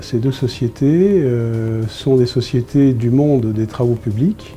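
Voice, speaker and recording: Music plays behind a man who speaks very slowly at a medium pitch with ordinary pitch variation. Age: 60s. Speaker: company director. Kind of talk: interview testimony. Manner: hesitant, many fillers.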